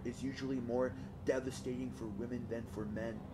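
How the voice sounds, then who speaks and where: Over music in the background, a man with a medium pitch talks at a moderate pace. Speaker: audiobook reader. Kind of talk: audiobook reading. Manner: monotonous.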